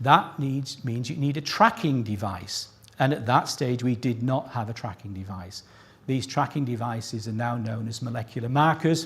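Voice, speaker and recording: A man's moderate-paced, medium-pitched voice, somewhat breathy, with ordinary pitch variation. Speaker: plant scientist giving award citation. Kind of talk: ceremony speech. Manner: pitch rises when excited.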